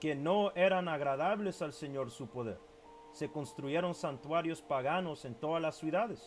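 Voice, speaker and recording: Lively intonation marks this man's speech in an English accent. He talks at a fairly high pitch and a fairly slow pace. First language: English (speaking Spanish). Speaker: bible teacher. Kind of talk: bible teaching video. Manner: halting, stumbling over Spanish words; casual, code-switching with English.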